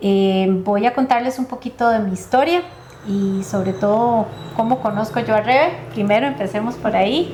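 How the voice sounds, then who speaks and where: At a moderate pace, a woman speaks in a fairly high pitch with ordinary pitch variation over noticeable background noise. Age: 60s. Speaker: lawyer and life coach. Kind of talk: testimony. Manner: hesitant, many fillers.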